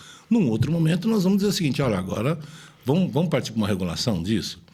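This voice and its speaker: The man's voice is somewhat breathy. His pitch rises and falls very widely. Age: 60s. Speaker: state politician. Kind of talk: interview. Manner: halting, repeats words.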